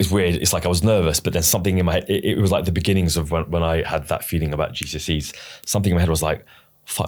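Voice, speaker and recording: Very fast and with a British accent, a man with a very deep, low pitch speaks in fairly even intonation. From England. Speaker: ADHD advocate. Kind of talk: casual chat. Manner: halting, repeats words.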